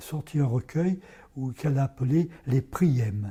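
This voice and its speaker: This man's voice has a dark, mellow tone. There is a somewhat breathy quality to it. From France, Ardèche. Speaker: poet. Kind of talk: interview. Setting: parish premises. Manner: hesitant.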